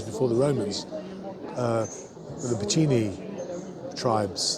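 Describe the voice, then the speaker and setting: A man at a medium pitch and moderate pace, with ordinary pitch variation, audible room echo and noticeable background noise. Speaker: singer vlogger. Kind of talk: casual vlog chat. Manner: halting, hesitant.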